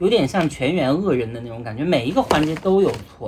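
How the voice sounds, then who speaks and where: Speech comes at a very fast pace. Background noise is noticeable. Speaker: podcast host. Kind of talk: casual chat.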